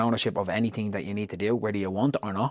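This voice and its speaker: A man speaks very fast in a fairly low voice, keeping his intonation fairly even. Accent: Dublin. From Ireland, Tallaght (Dublin). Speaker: business founder. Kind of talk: interview.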